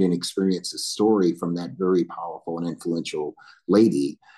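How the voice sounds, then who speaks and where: Talking at a fairly quick pace with an Alabama accent, a man uses a very deep, low pitch and fairly even intonation. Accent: Southern US (Alabama). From US South, northern Alabama. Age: 60s. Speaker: military veteran and corporate board director. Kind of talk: panel interview, personal life story.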